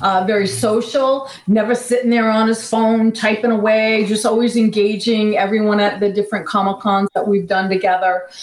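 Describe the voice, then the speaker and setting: Someone with an American accent speaks at a moderate pace with ordinary pitch variation amid noticeable background noise. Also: woman. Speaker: actress and paranormal personality. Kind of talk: casual chat.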